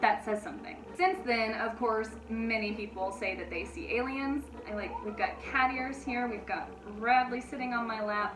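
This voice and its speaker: A woman with a fairly high pitch speaks at a moderate pace and ordinary pitch variation, with audible room echo and noticeable background noise. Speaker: paranormal storytime youtuber. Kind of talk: casual storytelling vlog. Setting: home recording with pets on lap.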